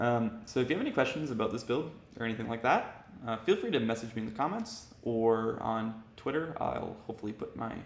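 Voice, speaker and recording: Noticeable background noise behind a man's medium-pitched voice. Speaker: gaming YouTuber. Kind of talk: tutorial. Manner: fast; casual with fillers. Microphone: mic died, poor substitute audio.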